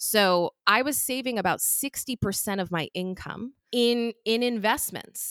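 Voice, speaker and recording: In a dry, close recording with no echo, a woman with an unremarkable speaking voice talks fairly slowly at a fairly high pitch, with ordinary pitch variation. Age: 30s. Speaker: financial podcaster and event organizer. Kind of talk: interview podcast.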